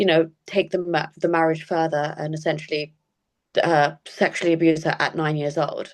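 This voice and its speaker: This woman speaks with a British accent at a fairly low pitch. Her intonation is monotone and flat, at a moderate pace. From England (British Pakistani family). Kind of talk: interview.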